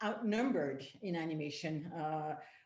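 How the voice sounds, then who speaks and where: A woman speaks at a very slow pace in a French accent with lively intonation. There's audible room echo. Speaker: panel moderator. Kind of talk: panel discussion introduction. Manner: halting, many fillers.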